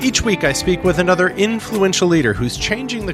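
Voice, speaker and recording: Music plays in the background as a man with an American accent speaks at a fairly high pitch. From Michigan. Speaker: podcast host. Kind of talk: podcast intro.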